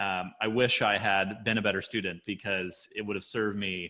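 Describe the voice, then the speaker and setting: A man with an unremarkable speaking voice, fairly low pitch, fairly even intonation, and an American accent, on a very clean recording with a silent background. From United States. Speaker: podcast host. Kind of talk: podcast interview.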